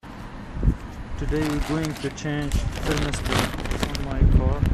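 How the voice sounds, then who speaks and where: Over loud background noise, a man speaks very slowly in a dry sound with no echo. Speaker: amateur car mechanic. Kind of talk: DIY repair tutorial. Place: garage. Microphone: phone near.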